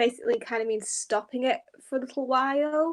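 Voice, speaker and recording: A woman's voice in a British accent, in a very clean recording with a silent background. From England, Grimsby (Lincolnshire). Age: 20s. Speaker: political writer. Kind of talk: panel discussion.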